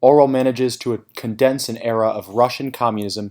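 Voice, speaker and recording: A man with a medium pitch talks at a fairly quick pace with fairly even intonation, in a very clean recording with a silent background. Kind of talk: scripted narration. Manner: fast.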